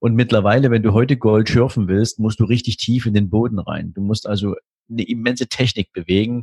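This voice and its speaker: Fairly quick speech from a man at medium pitch, somewhat breathy, with fairly even intonation and a dry, close sound with no echo. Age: 40s. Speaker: wealth manager. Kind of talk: podcast interview.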